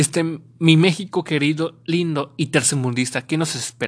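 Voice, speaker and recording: In a very deep, low pitch, a woman speaks at a fairly slow pace with fairly even intonation. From Mexico. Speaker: podcast host. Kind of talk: casual solo podcast monologue. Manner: loud.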